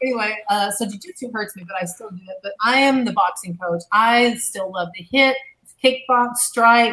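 Speaking at a moderate pace, a woman uses a fairly high pitch and a bright, sharp tone, with ordinary pitch variation and big swings in loudness. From US South, Arkansas. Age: 50s. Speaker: former TV gladiator and boxing coach. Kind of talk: casual chat.

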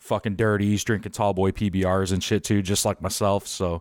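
An American-accented man, fairly low in pitch and fairly quick in pace, in a very clean recording with a silent background. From Chicago. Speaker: podcast host. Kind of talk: casual chat.

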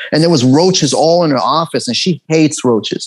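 Very fast speech in a Los Angeles accent carries ordinary pitch variation. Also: man, dry, close sound with no echo. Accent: American, Los Angeles. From Los Angeles, US (from Tehran, Iran, moved at eight). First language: Persian. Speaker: actor and comedian. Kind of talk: casual interview.

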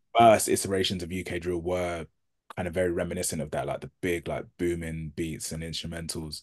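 In a British accent, a man speaks with a very deep, low voice in a monotone, flat intonation. His pace is fairly quick. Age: 30s. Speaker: journalist and author. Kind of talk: interview conversation.

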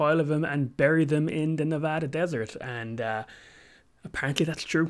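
The man talks at a moderate pace, his pitch varying in an ordinary way, on a very clean recording with a silent background. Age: 30s. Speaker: podcast host. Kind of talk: solo monologue on gaming history. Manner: hesitant, many fillers.

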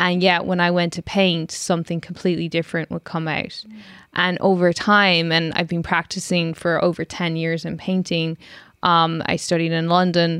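With an Irish accent, a woman speaks at a moderate pace and a fairly low pitch. Her intonation is monotone and flat. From Ireland (Cork). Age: 30s. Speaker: filmmaker. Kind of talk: interview.

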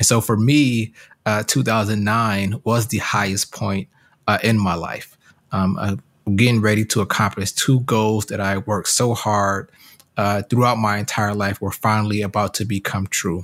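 An ordinary speaking voice with an American accent, fairly slow and fairly even in intonation, on a very clean recording with a silent background. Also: man, fairly low pitch for a man. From US Midwest (Detroit, Michigan). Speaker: advocacy director and podcast host. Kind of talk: scripted promo with personal testimony.

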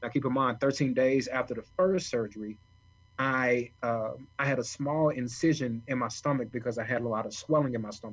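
This man has an unremarkable speaking voice at a medium pitch. He keeps a fairly quick pace and fairly even intonation. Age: 30s. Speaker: author and kidney transplant recipient. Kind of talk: interview storytelling.

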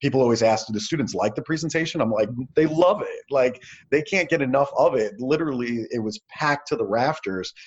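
A man with a plain, everyday voice and an American accent, speaking at a fairly quick pace with lively intonation. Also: fairly high pitch for a man. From New York City. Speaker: motivational speaker and entrepreneur. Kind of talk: casual interview.

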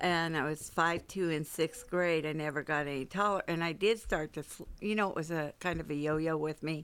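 With an American accent and a normal speaking voice, a woman at fairly low pitch speaks at a moderate pace with hardly any pauses and fairly even intonation, on a very clean recording with a silent background. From US West Coast, San Francisco. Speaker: church member sharing life story. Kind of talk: casual interview.

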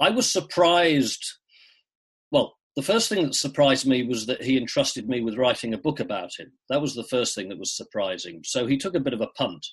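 At a fairly quick pace, a man with an English accent speaks at a medium pitch with very wide pitch swings. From England, Shropshire. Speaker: cricket writer. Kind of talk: interview.

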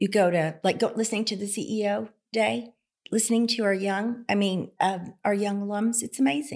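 A woman speaks in a normal speaking voice at medium pitch and a moderate pace. The recording is very clean, with a silent background. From rural southwest Oklahoma. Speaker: accountant and philanthropist. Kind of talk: casual interview.

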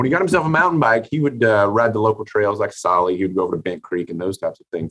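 A man with an American accent at a very fast pace. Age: 40s. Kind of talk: interview.

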